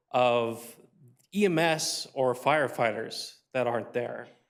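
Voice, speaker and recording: Against audible room echo, a man speaks at a very slow pace with ordinary pitch variation. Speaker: public commenter, concerned citizen. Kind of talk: public comment at city council. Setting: city council meeting. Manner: hesitant, many fillers.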